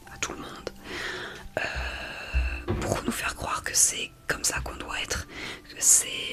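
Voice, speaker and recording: Amid noticeable background noise, a whisper unfolds at a very slow pace. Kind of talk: ASMR talk to camera, whispering. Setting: home recording with background water noise. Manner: soft-spoken, personal, reflective.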